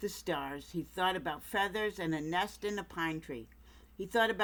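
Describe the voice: The text is read aloud plainly. Pitch moves in an ordinary way.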